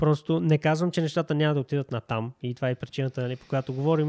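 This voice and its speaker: A man's fairly high voice with a dark, mellow tone, ordinary pitch variation and a dry, close sound with no echo. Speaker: YouTube host and e-commerce entrepreneur. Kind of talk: sales pitch; casual discussion.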